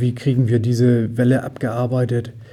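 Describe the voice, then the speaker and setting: A man's voice with a dark, mellow tone. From Düsseldorf area, western Germany. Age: 50s. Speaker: volunteer fire brigade chief. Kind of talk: interview.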